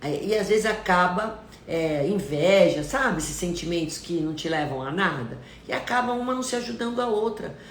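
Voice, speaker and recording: Amid noticeable background noise and audible room echo, a woman with a medium pitch and an animated tone talks at a moderate pace, her pitch swinging very widely. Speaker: nutritionist. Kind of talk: live stream talk. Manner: stern-sounding intonation.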